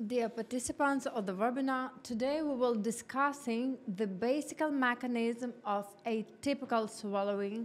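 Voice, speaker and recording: A woman with a Ukrainian accent, fairly high in pitch, at a fairly slow pace with fairly even intonation. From Ukraine. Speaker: orthodontist, professor. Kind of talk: lecture. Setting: live webinar.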